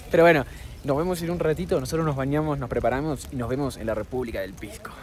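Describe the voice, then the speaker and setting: A man with a Rioplatense accent talks at a very fast pace in a fairly high pitch, with ordinary pitch variation and noticeable background noise. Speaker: travel vlogger. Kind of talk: casual travel vlog.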